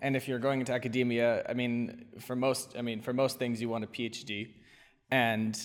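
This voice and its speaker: A man with an American accent talks at a moderate pace. His medium-pitched delivery stays monotone and flat. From US Northeast, near Boston. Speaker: recent graduate on fellowship in Georgia. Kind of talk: casual interview conversation.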